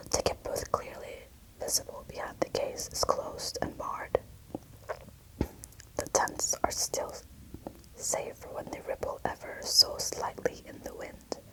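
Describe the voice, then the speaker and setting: Whispering and soft-spoken, a woman talks at a fairly slow pace with long, frequent pauses and big swings in loudness, amid noticeable background noise. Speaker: booktuber and ASMRist. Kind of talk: whispered audiobook-style reading of a novel. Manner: whispered, soft-spoken, slow.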